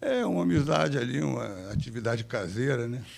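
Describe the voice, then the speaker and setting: A man's medium-pitched voice, with noticeable background noise and audible room echo. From Brazil, Rio de Janeiro (Copacabana). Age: 70s. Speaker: jiu-jitsu grandmaster. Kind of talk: interview storytelling.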